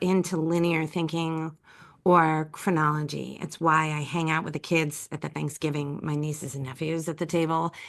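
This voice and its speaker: Against a quiet background, a woman with a normal speaking voice talks at a fairly slow pace in a fairly low pitch. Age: 50s. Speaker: writer, speaker and coach. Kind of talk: podcast interview. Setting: call.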